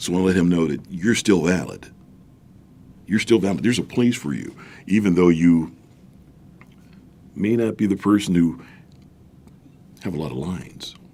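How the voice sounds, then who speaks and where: A man speaks at a moderate pace in a very deep, low voice with a dark, mellow tone and ordinary pitch variation, leaving long, frequent pauses. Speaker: voiceover artist and acting teacher. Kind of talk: interview. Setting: studio.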